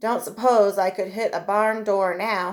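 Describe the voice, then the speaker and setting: A woman's drawling put-on character voice at medium pitch, moderate in pace, with monotone, flat intonation. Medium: read story. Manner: drawling, rough frontier talk.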